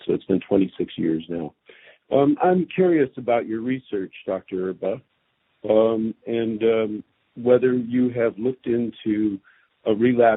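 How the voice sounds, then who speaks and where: At a fairly slow pace, a man with an unremarkable speaking voice keeps a medium pitch and ordinary pitch variation. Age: 60s. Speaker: caller, leukemia survivor. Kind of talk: caller question.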